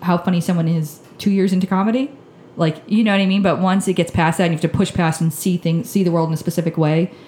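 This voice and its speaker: Noticeable background noise fills the recording. Her speech has ordinary pitch variation as the woman talks. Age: 30s. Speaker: comedian and show producer. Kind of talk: casual chat.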